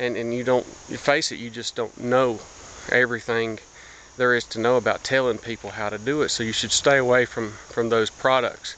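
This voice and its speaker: Noticeable background noise runs under a man's voice in an American accent. He holds a medium pitch with monotone, flat intonation at a moderate pace. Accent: hillbilly. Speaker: blogger. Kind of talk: casual vlog monologue. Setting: outdoors, walking through woods. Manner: halting, many fillers and repeats.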